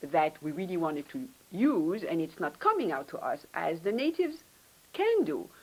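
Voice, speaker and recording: A non-native accent with lively intonation at a moderate pace. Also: woman. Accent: foreign. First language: not English. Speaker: professor, department head. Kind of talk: panel talk, career advice.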